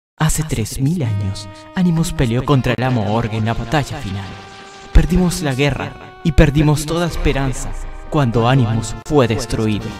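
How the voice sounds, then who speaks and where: A man performs a put-on character voice at a medium pitch and moderate pace. Clear music plays in the background. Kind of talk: dramatic storytelling narration.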